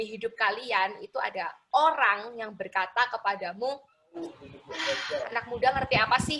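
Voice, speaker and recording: Her intonation lively and her pitch fairly high, a woman speaks at a fairly slow pace. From Indonesia, Surabaya (East Java). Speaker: motivational speaker for students. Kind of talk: motivational talk to teenagers. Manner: casual, conversational.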